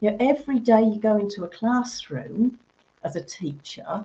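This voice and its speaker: At a moderate pace, a woman speaks in a somewhat breathy voice with a dark, mellow tone. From Birmingham, England. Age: 50s. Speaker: teacher trainer. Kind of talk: interview.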